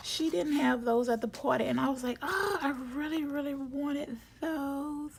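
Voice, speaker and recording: A woman speaks at a high pitch with ordinary pitch variation. Noticeable background noise is present. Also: moderate pace. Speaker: planner youtuber. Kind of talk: casual chat. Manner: halting.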